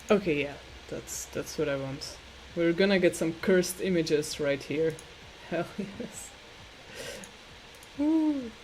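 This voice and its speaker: The delivery is fairly slow, with long, frequent pauses. Noticeable background noise runs underneath. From Slovakia. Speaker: artist and streamer. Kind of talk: casual livestream chat while drawing. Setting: live stream. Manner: hesitant, many fillers and repeated words.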